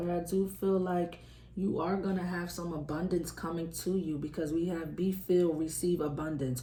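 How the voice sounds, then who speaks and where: With audible room echo, a woman at a fairly low pitch talks at a moderate pace in a monotone, flat intonation with hardly any pauses. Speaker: tarot reader. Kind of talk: tarot reading. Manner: casual, conversational; loud normally, quieter today.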